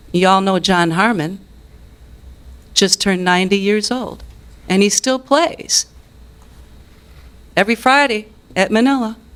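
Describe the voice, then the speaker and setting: Pausing long and often, a woman with a medium-pitched voice speaks at a fairly slow pace, with very even loudness and ordinary pitch variation. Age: 60s. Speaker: musician and business owner speaking at public comment. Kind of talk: public comment at city council meeting. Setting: city council meeting.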